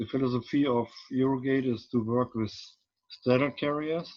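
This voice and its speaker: A man speaks in a medium pitch at a fairly slow pace. His intonation is flat and monotone. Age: 60s. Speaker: port engineering consultant. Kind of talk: webinar presentation. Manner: halting, many fillers.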